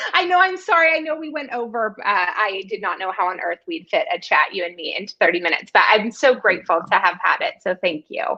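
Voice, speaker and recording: Against a quiet background, a woman talks at a very fast pace with hardly any pauses, her fairly high pitch showing very wide swings. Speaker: fundraising consultant; live show host or guest. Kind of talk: casual chat. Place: home room. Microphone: studio mic.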